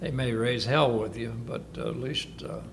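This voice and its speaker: A man's medium-pitched voice, showing ordinary pitch variation, carries audible room echo and noticeable background noise. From northern Kentucky. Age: 80s+. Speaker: war veteran. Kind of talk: oral history interview. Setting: senior living facility.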